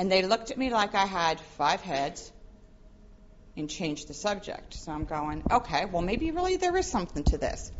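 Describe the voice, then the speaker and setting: A woman talks at a moderate pace in a medium pitch. Her intonation is lively. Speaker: professor and forensics speaker. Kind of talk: conference talk. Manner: loud.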